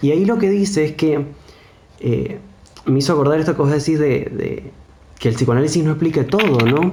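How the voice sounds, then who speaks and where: A man with an Argentine accent and a fairly high pitch, ordinary pitch variation, a fairly quick pace broken by long, frequent pauses, very even loudness, audible room echo and noticeable background noise. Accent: non-Buenos Aires Argentine. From Argentina, mountain province outside Buenos Aires. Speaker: psychologist. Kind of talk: casual discussion.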